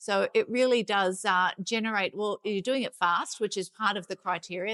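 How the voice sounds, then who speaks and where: Speaking in a strong Sydney accent, a woman talks at a fairly quick pace with a medium pitch and fairly even intonation. The sound is dry and close with no echo, over a very clean, silent background. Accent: heavy Sydney Australian. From Australia, Sydney. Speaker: life science consultant. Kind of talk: interview. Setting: conference.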